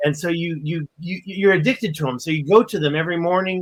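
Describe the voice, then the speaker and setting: A man talks with a high pitch. His pitch varies in an ordinary way. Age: 50s. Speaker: spiritual discussion panelist. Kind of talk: casual chat.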